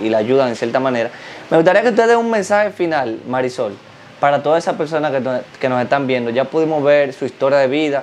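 Light background noise sits behind the voice. A man speaks with ordinary pitch variation. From Dominican Republic. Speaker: YouTube interviewer. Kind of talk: interview. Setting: guest's home. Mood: calm, respectful. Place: home room. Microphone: lapel.

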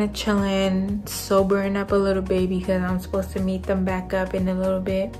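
Faint music plays in the background while a woman talks at a moderate pace. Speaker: travel vlogger. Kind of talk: casual vlog chat. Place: home room. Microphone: phone near.

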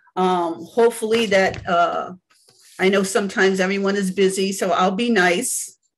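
A woman speaks in a warm tone at a fairly slow pace, with ordinary pitch variation. The background is quiet. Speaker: church elder leading Bible study. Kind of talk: Bible study teaching with opening prayer. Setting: video call. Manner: fervent, preacherly, with frequent praise; warm, conversational, halting with fillers. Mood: fervent, reverent. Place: home room. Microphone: video call.

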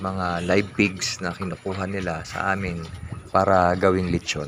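Noticeable background noise surrounds a man who speaks at a fairly slow pace in a very deep, low pitch. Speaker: small farmer and vlogger. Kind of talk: scripted narration.

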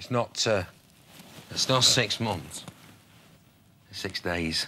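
Slowly and at low pitch, a man uses a put-on character voice with a bright, sharp tone and ordinary pitch variation.

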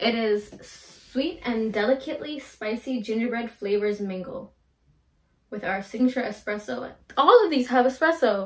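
The woman speaks at a moderate pace with ordinary pitch variation. The background is quiet. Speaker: drink reviewer. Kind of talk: casual vlog chat. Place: home room. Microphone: camera far.

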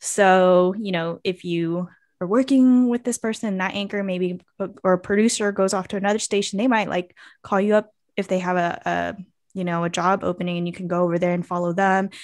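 A woman at a fairly quick pace, intonation fairly even, over a quiet background. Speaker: podcast co-host. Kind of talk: casual podcast chat. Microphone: studio mic.

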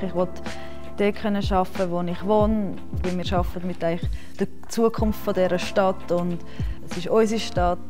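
Against clear music in the background, a woman speaks at a moderate pace with fairly even intonation and long, frequent pauses. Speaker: secondary school teacher. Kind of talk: interview answer. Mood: warm, relaxed, positive. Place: hall.

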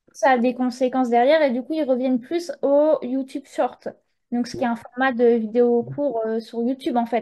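This woman speaks with a high pitch at a moderate pace. Her intonation is fairly even. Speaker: young Gen Z guest. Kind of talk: casual chat.

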